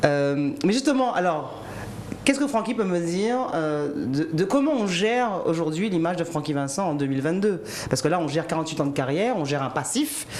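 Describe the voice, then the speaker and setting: Through noticeable background noise, a woman talks at a fairly quick pace in a fairly low voice with very wide pitch swings. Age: 40s. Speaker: TV host. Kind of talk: interview.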